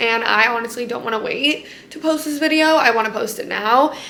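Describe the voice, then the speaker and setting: With audible room echo, a woman talks at a high pitch and a fairly quick pace. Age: 20s. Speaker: lifestyle vlogger. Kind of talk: personal vlog. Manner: casual, filler-heavy.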